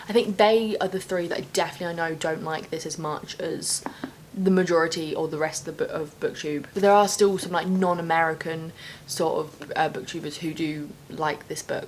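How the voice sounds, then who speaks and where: A woman's fairly low voice with ordinary pitch variation at a fairly quick pace, over noticeable background noise. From UK. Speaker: booktuber. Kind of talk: casual vlog talk. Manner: animated.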